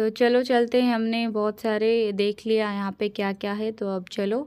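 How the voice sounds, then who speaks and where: The recording is very clean, with a silent background. A woman speaks at a fairly high pitch with monotone, flat intonation. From Odisha, India. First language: Odia (speaking Hindi). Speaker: travel vlogger. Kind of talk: casual vlog narration. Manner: halting, many fillers.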